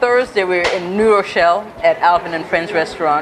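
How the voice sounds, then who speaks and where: A woman speaks with ordinary pitch variation. Noticeable noise runs in the background. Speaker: author. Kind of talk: casual chat.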